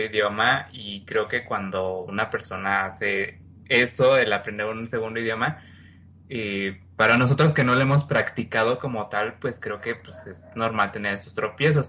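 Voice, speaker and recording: Using a normal speaking voice, a man talks at a fairly slow pace and a medium pitch with fairly even intonation and big swings in loudness. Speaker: podcast co-host. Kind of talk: casual chat.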